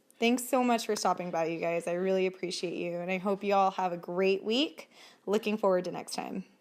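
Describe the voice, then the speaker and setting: A woman's medium-pitched voice at a fairly quick pace, with ordinary pitch variation, on a very clean recording with a silent background. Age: 20s. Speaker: vlogger and powerlifter. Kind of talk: vlog outro.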